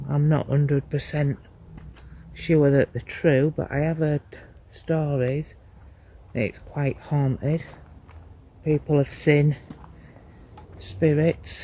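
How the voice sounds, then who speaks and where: The speech is quiet and very slow, broken by long, frequent pauses. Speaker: paranormal investigator. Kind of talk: ghost hunt walkthrough narration. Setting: outdoors in a graveyard at night. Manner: quiet, hushed; slow, measured.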